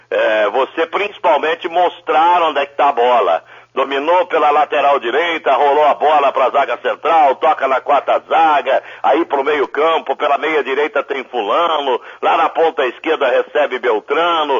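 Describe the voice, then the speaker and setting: At a moderate pace and with hardly any pauses, a man talks in a fairly high pitch. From Brazil, Sorocaba (São Paulo interior). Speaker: football radio commentator. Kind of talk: interview. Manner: animated.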